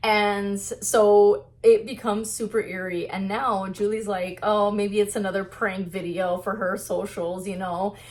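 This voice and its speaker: At a fairly slow pace, a woman speaks in a medium pitch. Her intonation is monotone and flat. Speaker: book vlogger. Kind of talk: casual vlog book review. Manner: casual, filler-heavy; soft-spoken, quiet.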